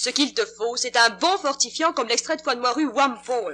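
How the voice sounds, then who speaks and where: Speaking at a moderate pace, a woman uses a raised, projected voice with a bright, sharp tone and high pitch. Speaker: radio actress. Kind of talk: dramatized radio commercial.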